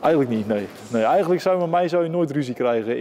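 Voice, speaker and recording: Noticeable noise runs underneath the recording. A man speaks fairly quickly. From Netherlands, Zeeland (Middelburg). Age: 20s. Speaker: boxer. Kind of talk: interview. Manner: hesitant, many filler sounds.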